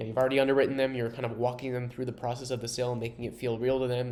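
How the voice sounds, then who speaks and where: Audible room echo surrounds a man who talks very fast in a flat, monotone voice at medium pitch. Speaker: software co-founder giving product demo. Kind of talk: software demo tutorial.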